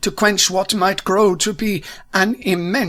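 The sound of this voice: An unforced reading voice, its intonation fairly even.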